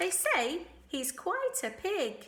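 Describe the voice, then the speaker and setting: A woman uses a squeaky, put-on character voice at an extremely high pitch. Her pitch swings very widely. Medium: read story.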